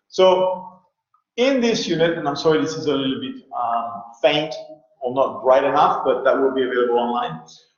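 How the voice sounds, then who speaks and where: A man's fairly high voice with very wide pitch swings and audible room echo. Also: moderate pace. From France. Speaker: university lecturer. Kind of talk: online lecture. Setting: online video class.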